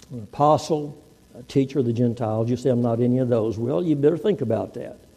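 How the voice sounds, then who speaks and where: A man with a Texan accent speaks at a fairly quick pace in a medium-pitched, dark, mellow tone with ordinary pitch variation. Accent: Texan US Southern. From Texas. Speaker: guest preacher, navy veteran. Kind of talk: sermon.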